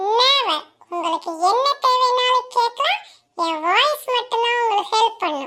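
A woman's squeaky, cartoonish character voice, extremely high in pitch, at a fairly slow pace. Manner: polite, cheerful, formal.

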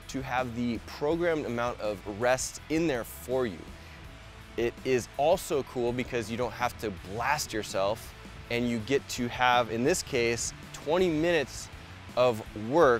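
A man speaks at a fairly slow pace. Faint music sits in the background, and the sound is dry with no echo. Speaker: fitness coach. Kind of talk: tutorial. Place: garden.

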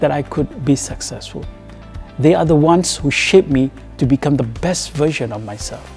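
Faint music plays in the background. A man talks at a moderate pace. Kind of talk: interview answer. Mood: grateful, proud. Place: hall.

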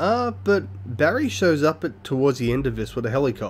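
At a moderate pace, a man with an Australian accent speaks at a medium pitch, somewhat breathy and with lively intonation. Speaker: gaming YouTuber doing a blind let's play. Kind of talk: live gameplay commentary. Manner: casual, halting with many fillers.

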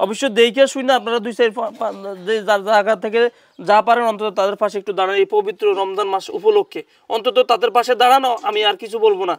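A man speaks in a high pitch with fairly even intonation. The sound is dry and close, with no echo. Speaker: vlogger filming a charity appeal. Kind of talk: on-the-street video appeal.

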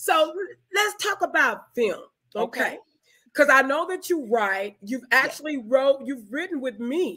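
The voice is raised and projected, with an animated tone and very wide pitch swings. It moves at a moderate pace over a quiet background. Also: woman, high pitch for a woman. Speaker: online talk show host, film organization founder. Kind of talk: live-streamed interview. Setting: video call livestream.

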